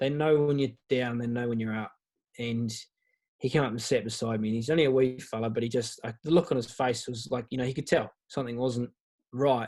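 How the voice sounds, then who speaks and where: Fairly even intonation marks a man's medium-pitched voice with a New Zealand accent. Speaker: guest on a men's mental health podcast. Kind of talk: personal testimony in casual interview. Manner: halting, many false starts and fillers.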